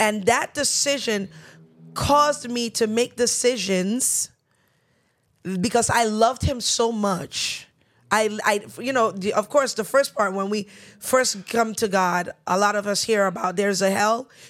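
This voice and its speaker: A woman's fairly high voice with a New York accent, fairly slow, with ordinary pitch variation, on a very clean recording with a silent background. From New York, Nigerian parents. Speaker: church elder. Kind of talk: casual chat.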